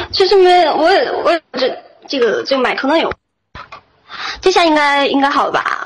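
A woman with an extremely high pitch talks at a moderate pace, her lively intonation broken by long, frequent pauses. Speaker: caller on live voice-chat show. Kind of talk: casual chat. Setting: online voice chat room. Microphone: strong echo.

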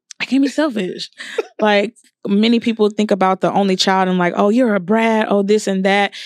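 On a very clean recording with a silent background and a dry, close sound with no echo, a woman speaks in a plain, everyday voice at medium pitch and a moderate pace, with fairly even intonation and very even loudness. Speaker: podcast co-host.

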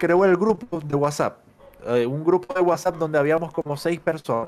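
A man speaks with a Zulian accent. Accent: Venezuelan (Zulian) Spanish. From Venezuela, Maracaibo. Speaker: fighting game caster and player. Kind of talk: casual chat.

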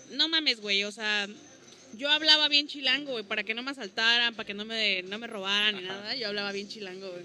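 A bright, sharp tone comes through at a fairly quick pace, with big swings in loudness. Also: woman, fairly high pitch for a woman, ordinary pitch variation. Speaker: stand-up comedian. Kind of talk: casual chat.

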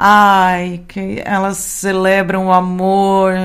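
Speaking very slowly at medium pitch, a woman is heard with audible room echo. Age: 40s. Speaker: radio podcast host. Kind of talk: radio show presenting.

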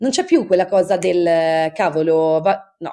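Using a normal speaking voice, a woman talks with ordinary pitch variation. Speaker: podcast author guest. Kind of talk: casual chat.

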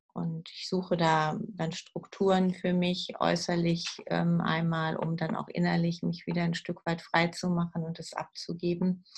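A woman speaks at a fairly slow pace. She takes hardly any pauses. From southern Lower Saxony, Germany. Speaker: hospital chaplain and pastor. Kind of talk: interview conversation. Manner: hesitant with frequent fillers.

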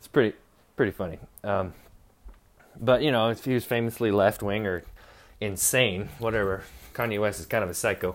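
A man's fairly low voice at a fairly quick pace, with long, frequent pauses, fairly even intonation and big swings in loudness, on a very clean recording with a silent background. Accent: American. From Utah, US. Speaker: podcast host. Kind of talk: casual monologue. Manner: laughing often.

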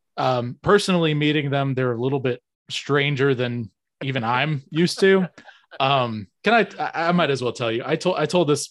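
Fairly high in pitch, a man with an American accent talks at a moderate pace with ordinary pitch variation, in an ordinary speaking voice. The sound is dry and close with no echo, against a quiet background. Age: 30s. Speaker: podcast host. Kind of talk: casual chat.

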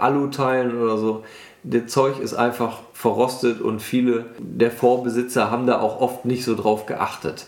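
A man speaks at a medium pitch and a fairly slow pace. His intonation is flat and monotone, with audible room echo. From western Germany, Bergisches Land (Wermelskirchen). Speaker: car enthusiast. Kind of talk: casual chat.

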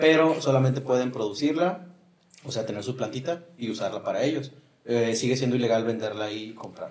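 This man speaks with a Mexican accent. His pitch is medium. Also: ordinary pitch variation, fairly quick pace. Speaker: podcast host. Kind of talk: casual chat.

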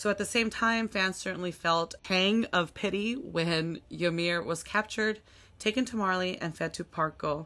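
With a bright, sharp tone, a woman speaks at a medium pitch and a moderate pace with ordinary pitch variation in a very clean recording with a silent background. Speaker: podcast host. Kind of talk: casual chat about anime.

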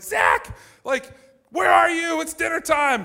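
Shouting in a shrill, put-on character voice pitched extremely high, a man projects loudly at a fairly slow pace. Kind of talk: mom voice. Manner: yelling.

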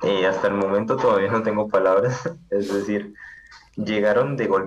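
There is audible room echo and noticeable background noise as a man with a fairly low pitch speaks at very even loudness. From Colombia, Palmira (Valle del Cauca). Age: 20s. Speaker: software programmer. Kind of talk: interview.

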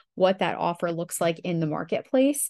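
A woman speaks at a moderate pace in an ordinary speaking voice, her pitch fairly low. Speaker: podcast co-host and online business manager. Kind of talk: casual business podcast chat. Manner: laughs often, friendly.

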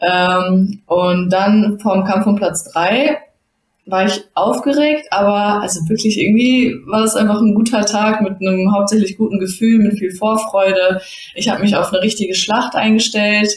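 A woman speaks in a medium pitch with ordinary pitch variation and very even loudness. Her voice is somewhat breathy. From Germany, Bottrop (Ruhr area). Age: 20s. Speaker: judoka and master's student. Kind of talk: casual interview.

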